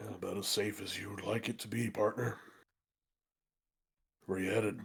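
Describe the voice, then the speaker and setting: Putting on a character voice, a man drawls in a raspy, fairly low monotone at a moderate pace. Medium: actual play. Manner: folksy, drawling, calls people partner.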